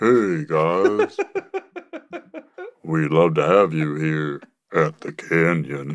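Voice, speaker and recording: A very slow, put-on character voice from a man, pitched very deep and low, broken by long, frequent pauses. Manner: friendly, inviting.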